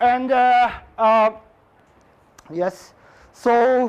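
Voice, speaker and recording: A man speaks in an extremely high pitch with a Japanese accent. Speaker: physics professor. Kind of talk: lecture. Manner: halting; slow.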